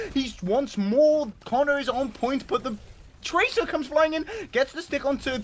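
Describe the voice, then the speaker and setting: Over noticeable background noise, an animated man speaks in an extremely high voice with ordinary pitch variation. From Britain. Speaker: esports caster. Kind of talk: live commentary. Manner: fast, animated.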